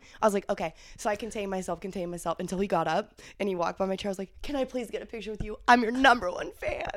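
A woman with an American accent talks at a very fast pace. Her pitch varies in an ordinary way. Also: medium pitch for a woman. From Ohio, US Midwest. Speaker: adult film performer. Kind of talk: casual chat.

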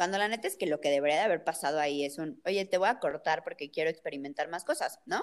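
A woman at a fairly low pitch, at a very fast pace with hardly any pauses and ordinary pitch variation. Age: 20s. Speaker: podcast co-host. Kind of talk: casual chat.

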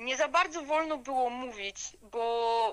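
A woman's raised, projected voice, high in pitch, with a bright, sharp tone and ordinary pitch variation. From Upper Silesia, Poland. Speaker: regional history blogger. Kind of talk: podcast interview.

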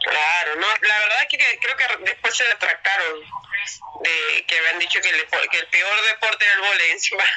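Against noticeable background noise, a woman with a medium pitch talks at a moderate pace, with very even loudness and ordinary pitch variation. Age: 30s. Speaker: professional volleyball player. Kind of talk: interview.

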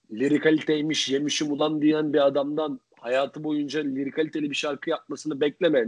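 This man has an unremarkable speaking voice, pitched fairly high and delivered at a moderate pace. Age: 20s. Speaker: podcast co-host. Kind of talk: casual chat.

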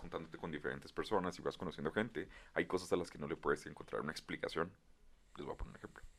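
A man with a Mexican accent at a very fast pace. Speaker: podcast co-host. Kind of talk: casual chat.

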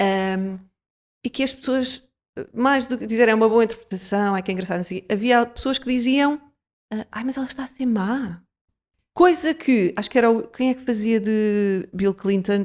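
A woman with an ordinary speaking voice talks at a moderate pace with ordinary pitch variation in a very clean recording with a silent background. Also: fairly high pitch for a woman. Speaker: podcast host. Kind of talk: casual chat.

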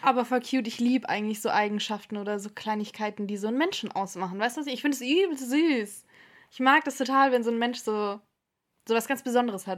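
On a very clean recording with a silent background, a woman speaks very fast with ordinary pitch variation. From Stuttgart area, Germany. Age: 20s. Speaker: podcast co-host. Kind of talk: casual chat.

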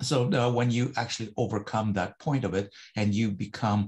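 A somewhat breathy man at a moderate pace, with fairly even intonation. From Russia, moved to North America as a child. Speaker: motivational hypnotist. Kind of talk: interview.

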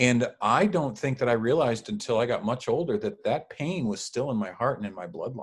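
With hardly any pauses, a man talks at a fairly quick pace in a somewhat breathy, medium-pitched voice. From Mexican-American family, US. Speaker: former minister. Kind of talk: casual chat.

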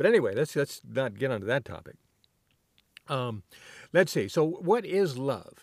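A man's vocal fry and very wide pitch swings at a moderate pace, with long, frequent pauses, on a very clean recording with a silent background. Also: fairly high pitch for a man. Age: 60s. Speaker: solo podcaster. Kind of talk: casual monologue. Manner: halting, many fillers.

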